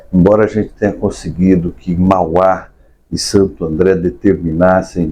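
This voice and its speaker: A man's voice sits very deep and low, dark and mellow in tone, moving at a middling tempo. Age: 60s. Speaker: state politician. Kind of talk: podcast interview.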